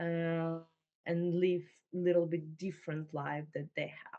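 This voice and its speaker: A woman with a Ukrainian accent speaks at a fairly low pitch. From Ukraine. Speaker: refugee entrepreneur. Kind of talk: interview. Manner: halting, many fillers.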